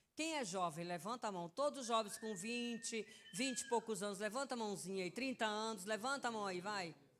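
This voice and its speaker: Here a woman talks in an animated tone at a fairly quick pace. Her pitch is fairly high, with ordinary variation. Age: 60s. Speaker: preacher. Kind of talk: sermon. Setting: church.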